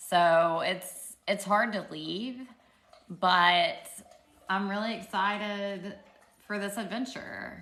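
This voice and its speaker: Audible room echo surrounds a woman who speaks at a very slow pace in a bright, sharp tone with long, frequent pauses. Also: medium pitch for a woman, ordinary pitch variation. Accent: Southern US. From Arkansas, US South. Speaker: social media livestreamer, PhD student. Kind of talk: casual livestream Q&A. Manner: animated.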